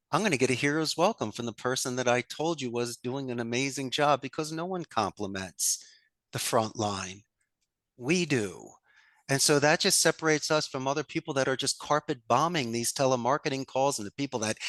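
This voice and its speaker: Against a quiet background, a man's medium-pitched voice comes across dry and close with no echo. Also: ordinary pitch variation, fairly quick pace. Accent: Philadelphia. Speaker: call center business owner. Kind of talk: podcast interview. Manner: animated.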